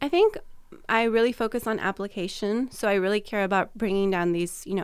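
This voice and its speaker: In an ordinary speaking voice, a woman with an American accent talks at a fairly quick pace with ordinary pitch variation. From California. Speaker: communication professor. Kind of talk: interview.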